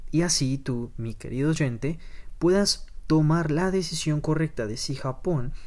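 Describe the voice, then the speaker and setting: This man has a normal speaking voice, fairly high in pitch, moving at a fairly slow pace with ordinary pitch variation. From Colombia. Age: 20s. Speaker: podcast host. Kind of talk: podcast monologue.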